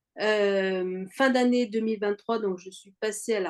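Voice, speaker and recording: Medium in pitch, a woman speaks at a very slow pace. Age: 60s. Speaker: cancer survivor, fitness program member. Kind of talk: interview testimony. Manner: halting, many fillers.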